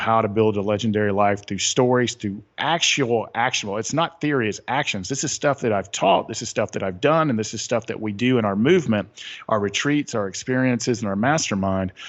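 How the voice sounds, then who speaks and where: Speaking at a fairly quick pace in a Southern US accent, the voice has ordinary pitch variation and hardly any pauses. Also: man. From US South, Atlanta. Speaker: author and retreat leader. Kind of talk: interview.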